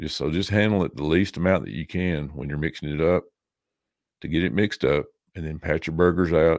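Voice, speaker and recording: A man's very deep, low voice with a Tennessee accent, fairly quick with ordinary pitch variation, in a very clean recording with a silent background. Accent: Southern US (Tennessee). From US South, Tennessee. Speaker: podcaster. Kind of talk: casual chat.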